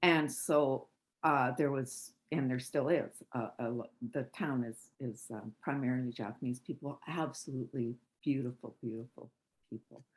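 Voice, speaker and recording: A man speaks with a Canadian accent at a medium pitch. His pace is moderate and his intonation fairly even. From western Canada. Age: 60s. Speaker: caller. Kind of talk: casual chat. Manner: halting.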